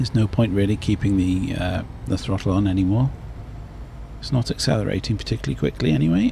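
Very fast speech in a British accent, with lively intonation, very even loudness and noticeable background noise. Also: man, very deep, low pitch for a man. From Britain. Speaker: gaming YouTuber. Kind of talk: let's play commentary.

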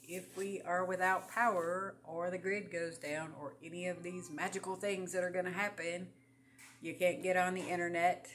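Music plays in the background as a woman talks. Her pace is moderate and her intonation fairly even. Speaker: home vlogger on herbs. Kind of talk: casual vlog chat. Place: home room.

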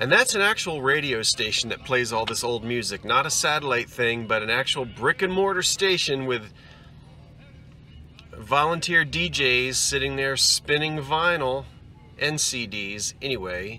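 A man at a fairly slow pace, dry with no echo, with faint music in the background. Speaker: antiques reseller vlogger. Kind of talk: casual vlog chat. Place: car. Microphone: phone near.

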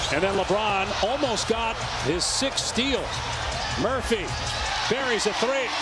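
Loud background noise over a dry sound with no echo. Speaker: play-by-play announcer. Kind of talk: live sports play-by-play commentary. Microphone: headset.

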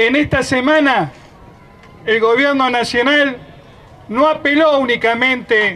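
An extremely high-pitched man's raised, projected voice at a very slow pace, with ordinary pitch variation over light background noise. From Argentina. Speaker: union leader. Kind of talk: rally speech. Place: street.

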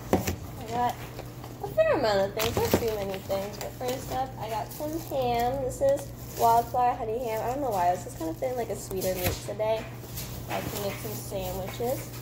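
Through noticeable background noise, a woman speaks at a moderate pace. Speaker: vlogger. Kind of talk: casual vlog chat. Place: kitchen. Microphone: phone near.

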